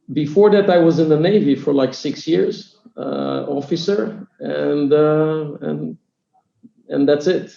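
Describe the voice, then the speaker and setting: A man speaks with an Israeli accent at a fairly slow pace. His pitch is fairly high. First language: Hebrew. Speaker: startup CEO and co-founder. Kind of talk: podcast interview. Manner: halting, many fillers.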